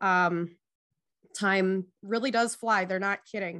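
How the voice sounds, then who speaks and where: In a Minnesotan accent, a woman at a medium pitch talks at a fairly slow pace over a quiet background. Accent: Minnesotan, long O's. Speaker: athletic trainer and EMT. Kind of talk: interview conversation.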